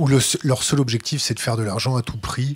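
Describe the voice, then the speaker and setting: A somewhat breathy man's voice. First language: French. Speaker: interviewer. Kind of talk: interview.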